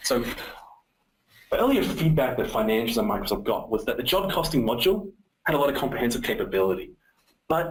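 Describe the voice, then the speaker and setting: Very wide pitch swings mark this man's fairly high voice. He speaks very fast and sounds somewhat breathy. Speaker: software presenter. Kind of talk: product webinar presentation. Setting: webinar.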